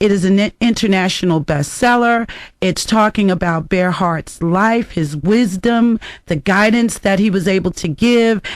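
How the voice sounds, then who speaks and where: The speaker has a DC accent and keeps a moderate pace. The background is quiet. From Washington DC. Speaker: radio host. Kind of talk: radio talk show.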